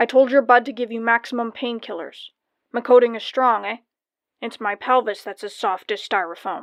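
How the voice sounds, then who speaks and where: A woman uses a loud, put-on character voice at a fairly high pitch. She keeps a moderate pace and fairly even intonation. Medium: read story. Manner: loud, blustering.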